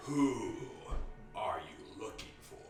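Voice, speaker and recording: A man speaks in a put-on character voice at an extremely high pitch, with slight echo and clear background noise. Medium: actual play. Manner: cryptic, slow, portentous.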